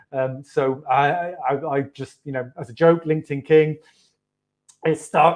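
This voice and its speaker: With a British accent, a man speaks fairly slowly at a fairly high pitch in a monotone, flat intonation, his loudness swinging widely. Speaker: marketing agency owner. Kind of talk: interview. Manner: halting.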